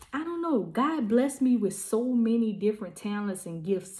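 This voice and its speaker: A woman with a fairly high voice speaks at a fairly slow pace, somewhat breathy, with a dark, mellow tone and lively intonation. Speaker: vlogger and small business owner. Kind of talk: casual vlog monologue. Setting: at home packing orders.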